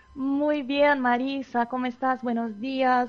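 A woman talks at a fairly slow pace with a Portuguese accent. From southern Brazil (Novo Hamburgo). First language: Portuguese (speaking Spanish). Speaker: Portuguese and art teacher. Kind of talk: radio interview.

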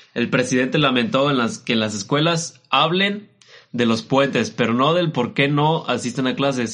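A man's fairly high voice with lively intonation and a Mexican accent. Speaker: podcast co-host. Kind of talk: casual chat.

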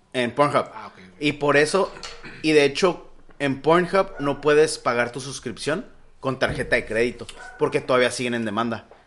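Amid noticeable background noise, a man in a Mexican accent speaks at a fairly high pitch and a moderate pace, with ordinary pitch variation and big swings in loudness. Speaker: podcast host. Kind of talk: casual chat.

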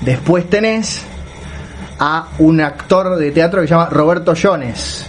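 A man at a high pitch, very slow in pace, with ordinary pitch variation amid noticeable background noise. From Uruguay. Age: 40s. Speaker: writer and podcast co-host. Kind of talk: casual chat. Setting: WhatsApp call from home. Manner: pauses to catch breath.

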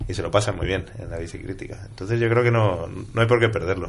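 This man talks very fast. His words come at a rapid clip. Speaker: cyclist activist. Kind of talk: casual chat.

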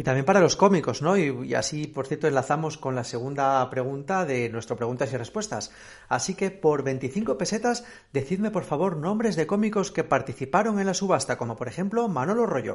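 A man's fairly quick, somewhat breathy speech swings very widely in pitch. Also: fairly high pitch for a man. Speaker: podcast host. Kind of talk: casual interview chat.

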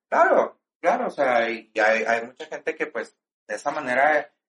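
A man speaks in a plain, everyday voice. He goes fairly slowly, with ordinary pitch variation. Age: 40s. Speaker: drag performer and stage actor. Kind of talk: casual interview chat.

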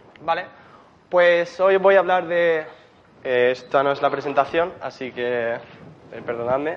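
The speaker talks at a fairly slow pace with ordinary pitch variation and long, frequent pauses. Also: man, fairly high pitch for a man. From Spain, Murcia. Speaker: software engineer. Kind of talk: conference talk. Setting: stage with audience. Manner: hesitant, many fillers.

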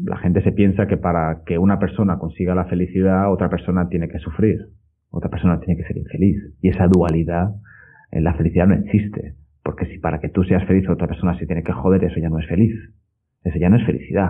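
Very fast speech comes from a man with a very deep, low pitch. His intonation stays fairly even. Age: 30s. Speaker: personal trainer and podcaster. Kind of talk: interview conversation.

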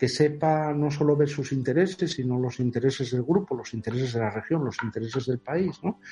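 A man with a dark, mellow, somewhat breathy tone talks at a fairly quick pace, at medium pitch with ordinary variation. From Asturias, Spain. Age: 50s. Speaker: mathematics professor. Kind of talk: interview.

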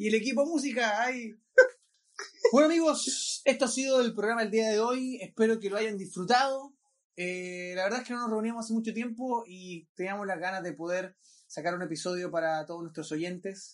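A man talks at a moderate pace. His pitch is high and his intonation lively. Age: 20s. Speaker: podcast host. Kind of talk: casual chat.

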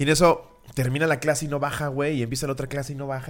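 Speaking at a very fast pace, a man rushes through his words. His voice has a medium pitch. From Mexico, State of Mexico. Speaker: comedy podcast host. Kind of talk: casual chat.

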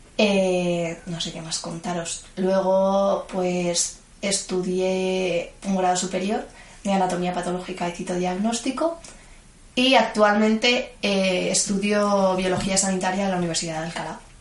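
Speaking at a fairly slow pace, a woman keeps a medium pitch and fairly even intonation amid audible room echo. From Madrid, Spain (Vallecas). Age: 20s. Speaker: student and gymnastics coach. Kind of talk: interview.

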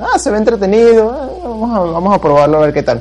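There is noticeable background noise. A man talks at a very fast pace with lively intonation. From Venezuela. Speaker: blogger and forum member interviewed. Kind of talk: casual chat. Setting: online voice call.

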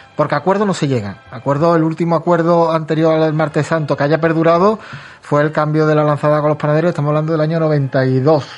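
At a very fast pace, a man with a fairly high pitch speaks with fairly even intonation and very even loudness. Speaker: radio host. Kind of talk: casual chat.

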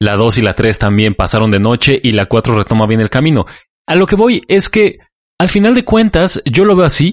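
A man talks at a moderate pace with very wide pitch swings and very even loudness. The sound is dry and close with no echo, against a quiet background. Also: medium pitch for a man. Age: 20s. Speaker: podcast guest. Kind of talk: casual chat.

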